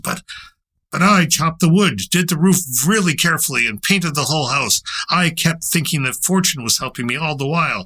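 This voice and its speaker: A man performs a put-on character voice, high-pitched and at a fairly quick pace. The recording is very clean, with a silent background. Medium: read story.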